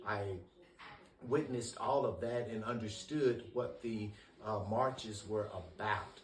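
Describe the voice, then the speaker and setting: Over noticeable background noise and audible room echo, a man with an American accent speaks fairly slowly at a medium pitch with fairly even intonation. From US South, Memphis, Tennessee. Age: 60s. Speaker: interviewee recalling civil rights era. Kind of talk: oral history interview. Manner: measured, with frequent hesitations.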